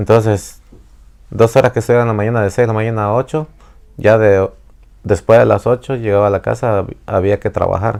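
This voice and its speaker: Speaking at a fairly quick pace, a man keeps his intonation fairly even and leaves long, frequent pauses. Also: fairly low pitch for a man. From Mexico. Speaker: immigrant father interviewed by daughter. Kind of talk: family interview. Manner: halting.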